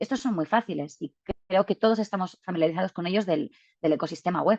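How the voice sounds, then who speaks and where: A woman at a very fast pace, in a dry, close sound with no echo. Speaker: data visualization speaker. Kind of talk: webinar presentation.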